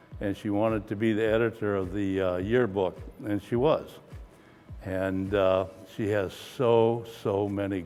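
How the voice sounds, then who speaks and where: Over background music, a man with a fairly low pitch speaks at a fairly slow pace with fairly even intonation. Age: 70s. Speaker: retired sports announcer and school parent. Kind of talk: interview testimony. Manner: hesitant, many fillers.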